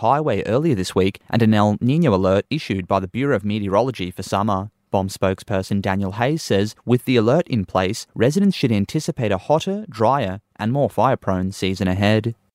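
A fairly low-pitched man with an Australian accent talks at a fairly quick pace with lively intonation and hardly any pauses. The sound is dry and close with no echo, on a very clean recording with a silent background. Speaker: radio news presenter. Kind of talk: formal newsreading, crisp and measured bulletin delivery. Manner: formal, steady and brisk, neutral tone.

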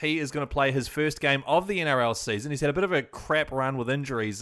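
In a very clean recording with a silent background, a man with a New Zealand accent speaks at a fairly quick pace in a bright, sharp tone of medium pitch, with ordinary pitch variation. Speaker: podcast host. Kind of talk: podcast monologue, team news rundown.

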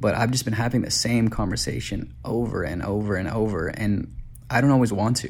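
Fairly quick, fairly low-pitched male speech in an American accent, with vocal fry and ordinary pitch variation. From Detroit. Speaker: listener submitting a question. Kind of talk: recorded video message.

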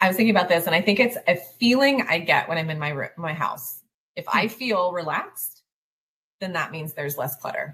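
With lively intonation and a fairly quick pace, a woman talks in a fairly low pitch and a plain, everyday voice. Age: 40s. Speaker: life coach for highly sensitive families. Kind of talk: interview.

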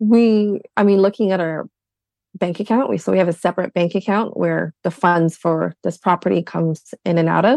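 A woman with an unremarkable speaking voice talks at a fairly low pitch and moderate pace, with ordinary pitch variation and a dry, close sound with no echo. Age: 30s. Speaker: guest couple seeking financial advice. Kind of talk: casual chat.

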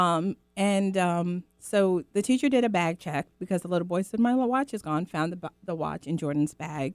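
In an unremarkable speaking voice with an American accent, a woman talks at a moderate pace with hardly any pauses, her pitch fairly low and her intonation lively. The very clean recording has a silent background and a dry, close sound with no echo. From Guyana, raised in the US from age five. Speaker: mother, guest. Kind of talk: casual chat.

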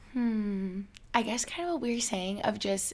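Speaking at a fairly slow pace, a woman with an American accent has an unremarkable speaking voice of medium pitch and ordinary pitch variation. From upstate New York. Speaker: YouTuber and podcaster. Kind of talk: casual chat.

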